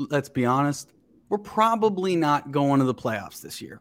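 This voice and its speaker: An unremarkable speaking voice from a man with an American accent, lively intonation and a moderate pace, in a very clean recording with a silent background. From Ohio, Cincinnati area. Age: 30s. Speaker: actor and comedian. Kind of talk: casual chat.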